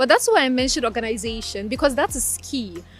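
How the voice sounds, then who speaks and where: Music is playing in the background. Over it, a woman talks at a high pitch. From Ukraine (Crimea) and Ghana. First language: Russian. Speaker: law graduate. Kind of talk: interview.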